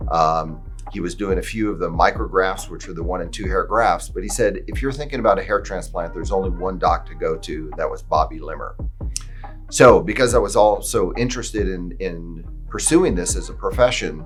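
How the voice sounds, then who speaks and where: A man at a fairly quick pace, big swings in loudness, audible room echo and music in the background. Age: 60s. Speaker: hair restoration surgeon. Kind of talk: personal testimony. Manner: casual with fillers.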